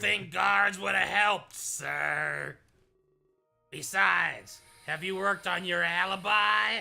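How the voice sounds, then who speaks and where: Putting on a raspy character voice, a man speaks fairly slowly at a fairly high pitch while faint music plays in the background. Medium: game stream. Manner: direct, businesslike.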